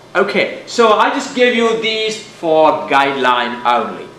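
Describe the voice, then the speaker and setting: Over noticeable background noise and audible room echo, a man speaks at a fairly slow pace. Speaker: physics teacher. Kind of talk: lecture. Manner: loud.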